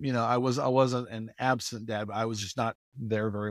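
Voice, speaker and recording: In a very clean recording with a silent background and a dry, close sound with no echo, a man with an American accent talks at a fairly quick pace in an ordinary speaking voice, at a medium pitch with fairly even intonation. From US Midwest, Indiana. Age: 50s. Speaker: podcast guest, father. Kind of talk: casual chat.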